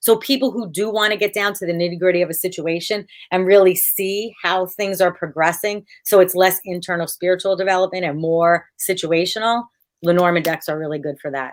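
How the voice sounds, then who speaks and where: Speaking at a fairly quick pace in a plain, everyday voice, this speaker has an American accent and ordinary pitch variation. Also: woman, medium pitch for a woman. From United States. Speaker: tarot card reader. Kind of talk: casual interview chat. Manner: many filler words (um, uh).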